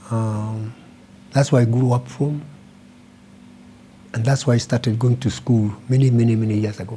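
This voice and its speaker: With long, frequent pauses, a man of medium pitch talks at a moderate pace in a somewhat breathy voice with monotone, flat intonation. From Kenya, Kiambu County. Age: 80s+. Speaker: retired businessman. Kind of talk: interview.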